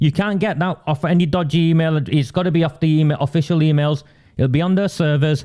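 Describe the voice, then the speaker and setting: A man talks at a very fast pace with a fairly high pitch. His tone is dark and mellow, and his loudness stays very even. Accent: non-native. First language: not English. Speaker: political campaigner and livestream host. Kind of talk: livestream political commentary. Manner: animated.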